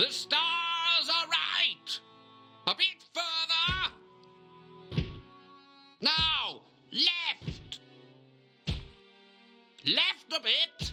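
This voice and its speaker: With faint music in the background, a put-on character voice speaks at a very slow pace, taking long, frequent pauses. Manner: shouting instructions excitedly.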